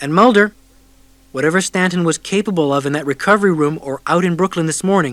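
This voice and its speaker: Using an unremarkable speaking voice, a man talks at a fairly quick pace with a fairly high pitch and ordinary pitch variation. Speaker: audiobook narrator. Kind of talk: audiobook narration.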